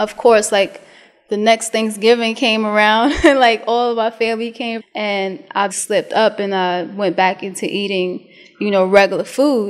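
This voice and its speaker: Her fairly high pitch and New York accent come through at a moderate pace, as the woman shows ordinary pitch variation and big swings in loudness. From US Northeast, Brooklyn, New York. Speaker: vegan chef. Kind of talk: interview. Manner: casual.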